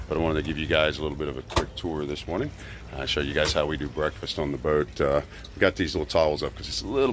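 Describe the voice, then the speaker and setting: A man talks at a very fast pace. The sound is dry with no echo, though there is noticeable background noise. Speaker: boat trip vlogger. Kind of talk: casual vlog chat. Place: boat. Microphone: phone near.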